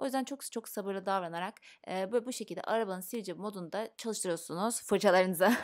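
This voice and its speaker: Over a quiet background, a woman talks at a very fast pace. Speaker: beauty vlogger. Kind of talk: makeup tutorial. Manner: casual, chatty.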